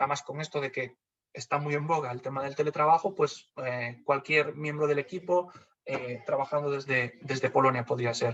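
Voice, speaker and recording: A man with a Galician accent, fairly even intonation and a moderate pace. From Galicia, Spain. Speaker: funding community manager. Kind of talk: webinar presentation. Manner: hesitant, many fillers.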